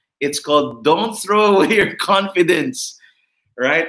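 A man talks at a fairly slow pace in a bright, sharp tone. His intonation is lively. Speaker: church pastor and author, host of online service. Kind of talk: interview introduction, church online event.

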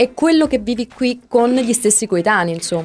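Pitched high, a woman talks at a moderate pace, her pitch swinging very widely. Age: 30s. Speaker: radio host. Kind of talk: casual chat.

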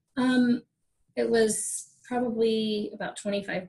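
A woman speaks with a somewhat breathy voice. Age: 40s. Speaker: yoga instructor and wellness coach. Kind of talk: casual interview chat.

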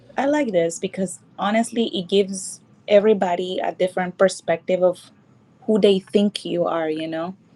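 A woman's medium-pitched voice, dark and mellow in tone, with a Nicaraguan accent. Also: ordinary pitch variation, moderate pace. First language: Spanish. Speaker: model and mixologist. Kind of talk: casual chat. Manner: shy, laughs often.

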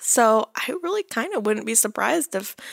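A soft-spoken woman talks at a moderate pace in an enthusiastic tone with ordinary pitch variation, in a dry, close sound with no echo. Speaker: soap opera recap podcaster. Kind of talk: casual chat. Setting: in bed at home. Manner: soft, muted delivery; enthusiastic, laughs often.

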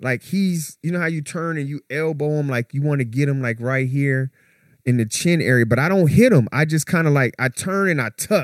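A man with a plain, everyday voice talks at a fairly high pitch and moderate pace with ordinary pitch variation, in a dry, close sound with no echo. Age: 40s. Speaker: podcast co-host. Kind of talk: casual chat.

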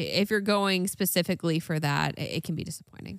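On a very clean recording with a silent background, a woman speaks in an ordinary speaking voice, fairly low in pitch with ordinary pitch variation. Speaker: podcast co-host. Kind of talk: casual chat.

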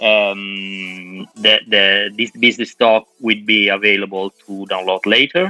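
Over music in the background, a man with an Italian accent and a fairly low pitch speaks at a very slow pace in a monotone, flat intonation, with hardly any pauses. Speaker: moderator. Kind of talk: panel discussion. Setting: video call.

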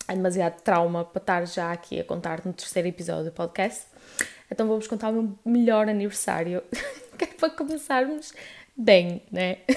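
Her intonation is lively and her pitch medium. This woman talks at a moderate pace with a European Portuguese accent. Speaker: podcaster. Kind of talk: casual chat. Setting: at home, on living room floor.

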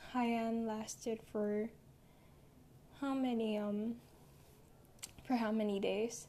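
Very slow and broken by long, frequent pauses, a woman's fairly high voice carries a dark, mellow tone. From Philippines. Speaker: podcast host. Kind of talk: casual monologue. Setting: home recording. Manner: halting.

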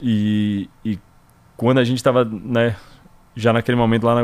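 With fairly even intonation, the man talks at a medium pitch in a plain, everyday voice. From Brazil, Salvador, Bahia. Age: 30s. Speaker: gym owner. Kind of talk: interview.

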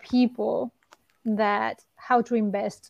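A woman with a Spanish accent speaks at a very slow pace in a dry, close sound with no echo. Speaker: sports performance director. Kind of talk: interview.

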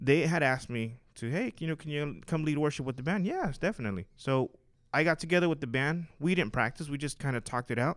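Over a silent background in a very clean recording, a man speaks very fast at fairly high pitch with ordinary pitch variation. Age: 30s. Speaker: church musician and worship singer. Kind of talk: casual chat.

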